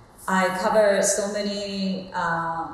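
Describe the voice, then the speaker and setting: Strong room echo surrounds a woman speaking at a medium pitch. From Japan. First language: Japanese. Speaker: soul singer. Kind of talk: interview answer. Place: home room.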